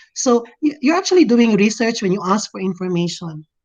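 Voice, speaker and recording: At a moderate pace, a woman speaks in a Visayan Filipino accent. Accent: Filipino (Cebuano) English. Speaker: teacher. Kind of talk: lecture. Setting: video call.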